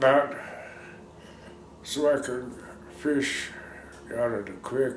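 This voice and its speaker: There is audible room echo around a man speaking with an American accent. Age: 70s. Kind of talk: interview, oral history. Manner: halting.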